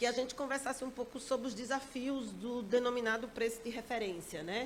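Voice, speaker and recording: A woman with a Sergipe accent. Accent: Sergipe accent, persistent. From Sergipe, Brazilian Northeast. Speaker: regulatory agency director. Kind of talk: panel discussion. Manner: direct, blunt.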